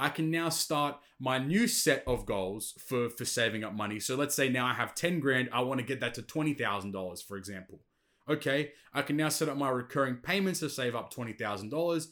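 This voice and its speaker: A normal speaking voice moves at a fairly quick pace with lively intonation on a very clean recording with a silent background. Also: man, medium pitch for a man. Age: 20s. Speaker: podcast host. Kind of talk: casual solo monologue. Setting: bedroom home setup.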